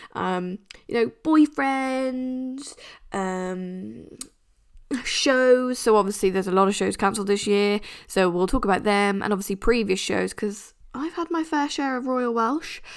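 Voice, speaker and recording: A woman with an English accent speaks at a fairly slow pace, her fairly high voice moving in lively intonation. The recording is very clean, with a silent background. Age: 20s. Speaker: podcast host. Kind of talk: casual monologue. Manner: chatty, laughing.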